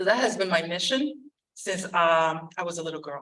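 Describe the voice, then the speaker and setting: A woman speaks at a moderate pace with a Spanish accent. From Puerto Rico. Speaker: school board member. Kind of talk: community meeting speech. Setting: church hall meeting. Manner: halting, many fillers.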